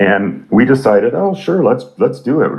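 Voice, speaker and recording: A man with a Canadian accent. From Canada. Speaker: rock musician. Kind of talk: interview.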